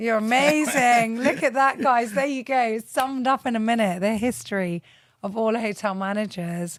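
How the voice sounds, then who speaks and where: A woman's ordinary speaking voice, fairly high in pitch, at a moderate pace. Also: ordinary pitch variation. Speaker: podcast host. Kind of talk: interview host, casual talk.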